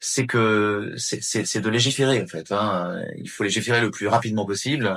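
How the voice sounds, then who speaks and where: A man with a normal speaking voice and fairly low pitch. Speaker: voice actor (French dubbing actor). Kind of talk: interview answer. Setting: interview. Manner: earnest, concerned, speaking with conviction.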